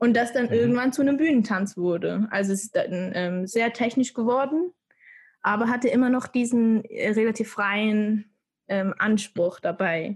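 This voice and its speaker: At a moderate pace, a woman with a fairly high, somewhat breathy voice speaks with ordinary pitch variation. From Switzerland. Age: 20s. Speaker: dancer. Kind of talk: casual chat.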